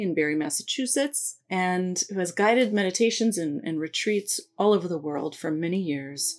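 A woman's lively intonation in an ordinary speaking voice, medium-pitched and fairly quick. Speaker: museum host. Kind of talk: welcome and introduction. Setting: online live session.

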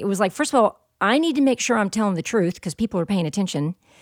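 A woman with a Southern US accent, medium in pitch, with very wide pitch swings. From US South. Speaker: professional storyteller. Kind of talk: casual chat; storytelling performance.

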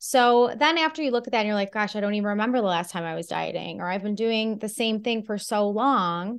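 An ordinary speaking voice moves at a fairly quick pace with hardly any pauses. Pitch variation is ordinary, over a quiet background. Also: woman, fairly high pitch for a woman. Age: 40s. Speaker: nutrition and fitness coach. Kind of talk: interview.

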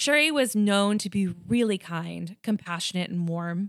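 In a Long Island accent, a woman speaks at a medium pitch, her voice dry and close with no echo in a very clean recording with a silent background. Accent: Long Island New York. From Long Island, New York. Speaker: true crime podcast host. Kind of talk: storytelling true crime narration with casual chat.

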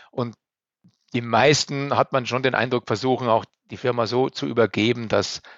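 A man speaks at a medium pitch and a moderate pace, keeping his intonation fairly even. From Upper Bavaria, Germany. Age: 50s. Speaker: elevator company managing director. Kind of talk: interview.

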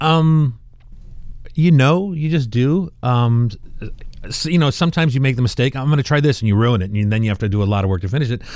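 Speaking with a plain, everyday voice, a man at medium pitch keeps a fairly quick pace and lively intonation. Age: 50s. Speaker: artist and product inventor. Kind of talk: interview.

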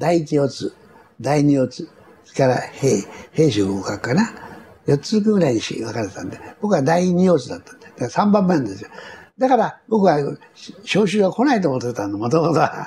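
A man with a fairly high voice speaks at a moderate pace, with long, frequent pauses. His loudness swings widely, and background noise is noticeable. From Tokyo. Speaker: war veteran and company chairman. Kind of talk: interview recounting war memories.

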